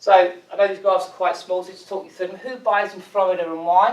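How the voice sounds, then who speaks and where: Speaking in an English accent at a very fast pace, a man with a high pitch keeps a fairly even intonation while his loudness swings widely. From England. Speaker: foreign exchange company executive. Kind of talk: business presentation.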